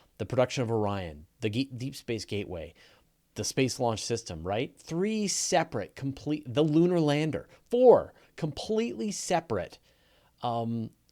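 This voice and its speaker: A man with a medium pitch and dark, mellow tone makes very wide pitch swings. The recording is very clean, with a silent background. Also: moderate pace. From Canada. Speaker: space and astronomy video host. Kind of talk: live Q&A. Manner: casual with many fillers and restarts.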